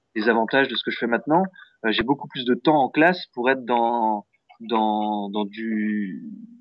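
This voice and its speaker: A man with a medium pitch and ordinary pitch variation talks fairly slowly. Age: 20s. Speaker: music teacher. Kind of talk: interview. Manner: hesitant, many fillers.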